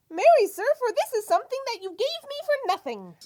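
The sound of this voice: This put-on character voice has an extremely high pitch and moves at a fairly quick pace.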